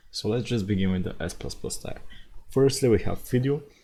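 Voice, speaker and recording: The voice has a dark, mellow tone with vocal fry. Its intonation is lively. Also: man. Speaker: gaming video creator. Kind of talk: casual talk about a video game.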